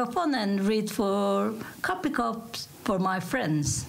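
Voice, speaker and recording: A woman with a Turkish accent uses lively intonation at medium pitch. Audible room echo and noticeable background noise fill the recording. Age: 50s. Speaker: coffee cup reader, tourism worker. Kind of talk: casual interview.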